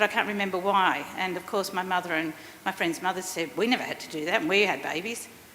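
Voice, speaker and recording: A woman at a very fast pace and medium pitch, with ordinary pitch variation, against noticeable background noise. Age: 50s. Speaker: workshop participant. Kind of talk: audience comment.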